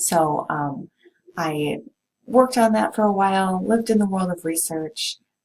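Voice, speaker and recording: A woman with a slight Minnesota accent speaks at a fairly slow pace with lively intonation. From US Midwest, Minnesota. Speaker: college professor. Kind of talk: course introduction to students. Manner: casual, many filler ums.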